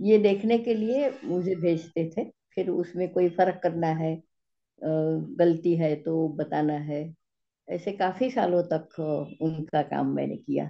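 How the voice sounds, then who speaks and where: A woman speaks with a Gujarati accent. Her pitch is fairly low, with ordinary variation. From India, Gujarat (Ahmedabad). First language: Gujarati (speaking Hindi). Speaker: physics teacher. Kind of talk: interview. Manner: halting.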